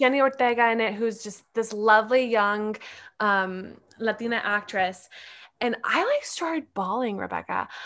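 On a very clean recording with a silent background, a woman talks at a moderate pace in a fairly high pitch with ordinary pitch variation and an ordinary speaking voice. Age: 20s. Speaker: actor and producer. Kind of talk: casual interview chat.

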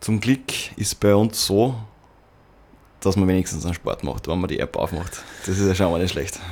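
Speaking at a moderate pace with long, frequent pauses, a man with a fairly low voice and ordinary pitch variation is heard on a very clean recording with a silent background. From Upper Austria. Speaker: podcast host. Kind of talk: casual chat.

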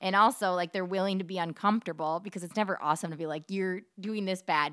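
A woman speaks at a very fast pace with a medium pitch and fairly even intonation. The recording is very clean, with a silent background. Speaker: radio traffic reporter. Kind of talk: casual interview chat. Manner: chatty, rambling.

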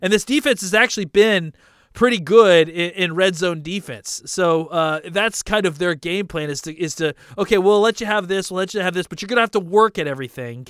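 A man with a high pitch talks at a fairly quick pace. The sound is dry and close with no echo, in a very clean recording with a silent background. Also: ordinary pitch variation. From Dallas, Texas. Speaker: sports podcaster. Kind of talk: solo podcast monologue. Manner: halting, many fillers and repetitions.

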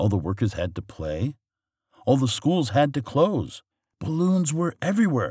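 In a soothing tone, a man speaks at a fairly slow pace and a medium pitch, with vocal fry. His pitch swings very wide. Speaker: storyteller reading bedtime stories. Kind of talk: bedtime story reading aloud, gentle storybook narration. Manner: soothing, measured, storytelling pace with character voices.

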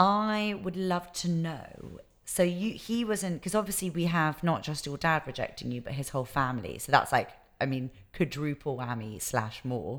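On a very clean recording with a silent background, a woman with a British accent and a very deep, low pitch speaks at a moderate pace with very wide pitch swings. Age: 20s. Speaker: podcast host. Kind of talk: casual interview.

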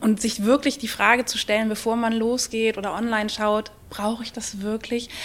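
A woman speaks in a fairly high voice with monotone, flat intonation. Noticeable background noise is present. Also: moderate pace. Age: 40s. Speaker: charity press officer. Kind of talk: live podcast interview. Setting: stage with audience at a trade fair.

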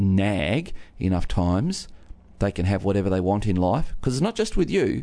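A man's fairly low, dark, mellow voice. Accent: Australian. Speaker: pastor. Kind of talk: radio talk segment.

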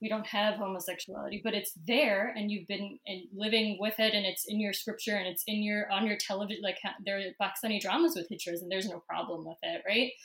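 A woman with a New Jersey accent speaks at a very fast pace with hardly any pauses, a medium pitch and ordinary pitch variation, against noticeable background noise. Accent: American (New Jersey). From New Jersey suburbs. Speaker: podcast co-host. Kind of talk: casual interview.

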